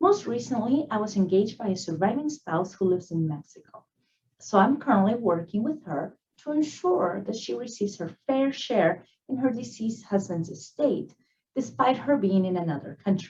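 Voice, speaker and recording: A woman with a somewhat breathy voice at a medium pitch speaks at a moderate pace, her pitch swinging very widely. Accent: Spanish. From Peru. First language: Spanish. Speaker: attorney. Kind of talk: prepared professional presentation. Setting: virtual event recording.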